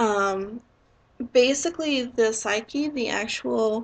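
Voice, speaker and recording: A woman speaks with a fairly high pitch and ordinary pitch variation. The background is quiet. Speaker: YouTuber discussing own dissociative identity disorder. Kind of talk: explainer / Q&A monologue. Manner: concise, to the point.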